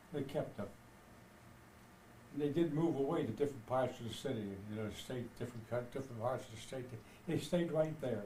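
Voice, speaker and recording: Amid noticeable background noise, a man speaks at a fairly quick pace with long, frequent pauses, his medium pitch showing ordinary variation. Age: 80s+. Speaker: grandfather. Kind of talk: casual family conversation.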